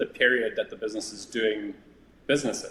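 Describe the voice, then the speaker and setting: A man talks with a South African accent. His pace is fairly quick. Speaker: business valuation executive. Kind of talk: interview conversation. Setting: podcast.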